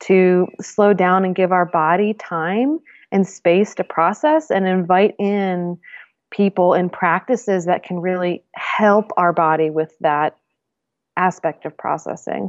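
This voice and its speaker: A woman with an American accent uses an ordinary speaking voice at a medium pitch, with ordinary pitch variation. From US Northeast. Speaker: herbalist and intuition teacher. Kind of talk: casual chat.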